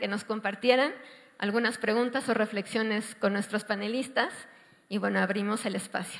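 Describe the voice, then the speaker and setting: A woman talks at a fairly quick pace in a normal speaking voice. Her pitch is fairly high, with fairly even intonation. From Mexico City. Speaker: panel moderator. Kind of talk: panel discussion moderation.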